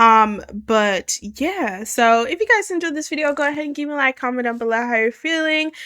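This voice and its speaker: A woman speaks in a raised, projected voice with a high pitch, very wide pitch swings and a bright, sharp, animated tone. She barely pauses. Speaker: reaction video creator. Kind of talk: reaction commentary.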